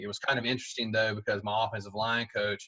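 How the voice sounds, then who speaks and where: In a Southern US accent, a man speaks with a bright, sharp tone and fairly even intonation, the sound dry and close with no echo against a quiet background. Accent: Southern US (Georgia). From Southwest Georgia, US South. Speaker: high school football coach. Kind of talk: podcast interview.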